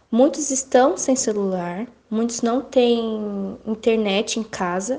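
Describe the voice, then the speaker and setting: A woman's fairly high voice moves at a very slow pace. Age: 20s. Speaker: literacy educator. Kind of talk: interview.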